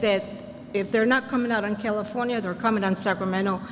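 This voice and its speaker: With audible room echo and noticeable background noise, a woman speaks at a fairly high pitch with ordinary pitch variation. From Puerto Rico. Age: 80s+. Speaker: senior resident speaking at community meeting. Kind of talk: public comment at community meeting. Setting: community meeting.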